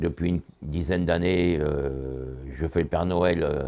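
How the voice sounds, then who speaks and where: Very deep and low, the man's voice has a dark, mellow tone and vocal fry. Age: 80s+. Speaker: retired supermarket worker. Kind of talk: interview testimony. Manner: halting.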